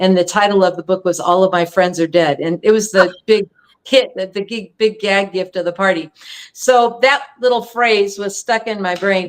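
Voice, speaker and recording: With an American accent and a normal speaking voice, a woman speaks at a moderate pace and medium pitch, with ordinary pitch variation. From California. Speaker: singer-songwriter. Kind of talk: casual chat.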